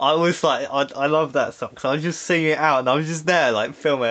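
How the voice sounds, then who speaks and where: A man speaks with an English accent in a fairly high register. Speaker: podcast host. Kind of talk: casual chat. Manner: frequent pauses and filler words.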